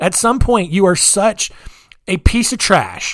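A man with an American accent at a moderate pace, with ordinary pitch variation. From rural US. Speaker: podcast host. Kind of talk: solo storytelling podcast. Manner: casual, halting with many fillers.

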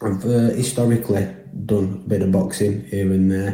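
In a Lancashire accent, a man speaks at a moderate pace with a somewhat breathy, dark, mellow tone and audible room echo. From northern England, Burnley, Lancashire. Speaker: listener sending a question. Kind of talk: recorded voice message question.

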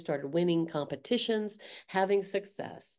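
Against a quiet background, a woman speaks fairly slowly at a medium pitch, her tone dark and mellow. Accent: American. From US South. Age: 60s. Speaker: art teacher and artist. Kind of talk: casual interview conversation.

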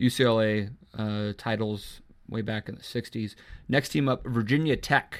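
The speech comes at a moderate pace on a very clean recording with a silent background. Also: man. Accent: American. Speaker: sports podcast host. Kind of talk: casual chat. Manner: halting.

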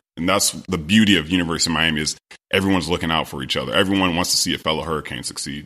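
With an American accent, a man talks very fast in a very deep, low voice with vocal fry and fairly even intonation. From US West, Sacramento, California. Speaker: former pro football player. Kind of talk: interview, casual chat.

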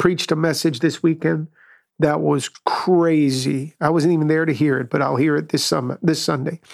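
A man with an unremarkable speaking voice and fairly even intonation. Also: fairly high pitch for a man, moderate pace. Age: 60s. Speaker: pastor. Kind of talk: casual chat.

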